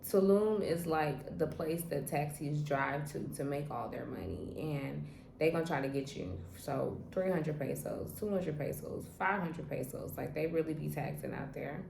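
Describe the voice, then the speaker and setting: A woman with a very deep, low pitch and lively intonation talks amid audible room echo and noticeable background noise. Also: moderate pace. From Trinidad. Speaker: travel vlogger. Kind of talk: casual vlog monologue. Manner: casual, conversational with many fillers.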